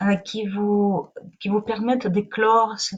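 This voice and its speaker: A somewhat breathy woman at a fairly slow pace. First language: not French (speaking French). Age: 40s. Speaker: spiritual wellness teacher. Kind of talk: live online talk. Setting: livestream. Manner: halting.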